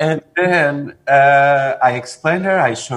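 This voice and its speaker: A man with a Portuguese accent at a fairly high pitch and a very slow pace. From Portugal. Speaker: film director; guest. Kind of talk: interview. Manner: halting. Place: home room. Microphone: video call.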